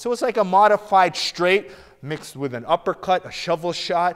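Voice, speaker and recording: The speaker is a man. He talks at a moderate pace. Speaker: martial arts coach. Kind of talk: tutorial. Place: gym.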